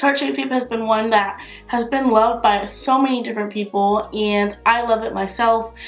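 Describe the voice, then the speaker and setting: With music playing behind her, a woman talks at a moderate pace in a fairly high pitch. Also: ordinary pitch variation. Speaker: beauty youtuber. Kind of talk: product review. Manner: casual, filler-heavy.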